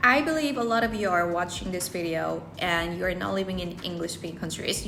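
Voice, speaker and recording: A woman speaks with a Korean accent over music in the background. The room echo is audible. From South Korea. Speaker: English learning content creator. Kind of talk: casual vlog-style talk to camera.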